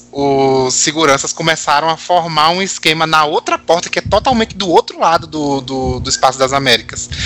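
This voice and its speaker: A man speaks at a moderate pace in a fairly high pitch with ordinary variation. Noticeable background noise is present. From Natal, northeastern Brazil. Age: 30s. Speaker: pop music fan guest. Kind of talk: casual chat.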